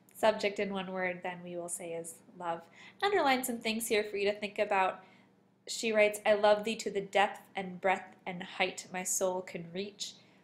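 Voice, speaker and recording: A woman with an ordinary speaking voice talks at a moderate pace and medium pitch, keeping her intonation fairly even. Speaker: teacher. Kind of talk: tutorial.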